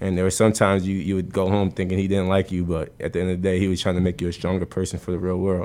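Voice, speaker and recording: A man with an American accent, very deep and low in pitch, with monotone, flat intonation. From US Northeast, New Jersey. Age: 20s. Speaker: basketball coach. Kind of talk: casual interview. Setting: studio.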